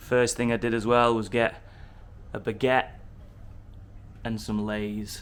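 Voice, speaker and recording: Speaking in a northern English accent, a man talks fairly slowly at a medium pitch. His delivery is a flat monotone with long, frequent pauses. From Yorkshire, northern England. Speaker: travel vlogger. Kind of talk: casual vlog narration. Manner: casual, chatty.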